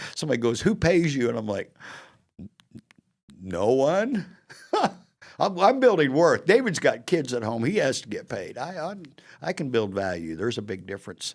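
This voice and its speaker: A man with a fairly high pitch speaks with vocal fry and very wide pitch swings. His pace is moderate, broken by long, frequent pauses. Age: 60s. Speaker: podcast host. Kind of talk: casual interview chat.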